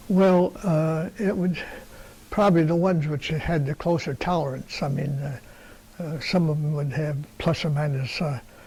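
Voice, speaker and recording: A man with a fairly high pitch speaks at a moderate pace, noticeable background noise around him. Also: ordinary pitch variation. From Wisconsin, Milwaukee. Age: 90s. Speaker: retired tool and die maker. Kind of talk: interview. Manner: halting.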